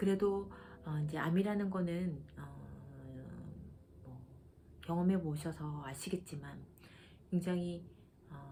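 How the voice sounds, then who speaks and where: A woman with a very deep, low pitch speaks at a fairly slow pace. Her ordinary pitch variation carries through audible room echo. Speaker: vlogger, cancer patient. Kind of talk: casual explanatory vlog. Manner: hesitant, many fillers.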